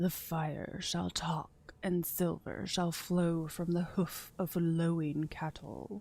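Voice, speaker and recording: A woman uses a put-on character voice at a fairly low pitch in a solemn tone. She speaks very slowly in a flat, monotone way. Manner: solemn, enigmatic.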